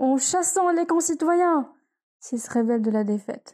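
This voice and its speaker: A woman's voice has a dark, mellow tone and very wide pitch swings. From Tunisia. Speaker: student. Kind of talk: reading aloud.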